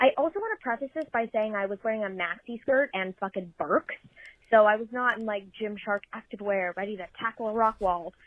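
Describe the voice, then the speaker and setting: An ordinary speaking voice from a woman, fairly high in pitch, at a fairly quick pace with ordinary pitch variation. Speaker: listener caller. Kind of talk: storytelling. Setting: recorded voice message.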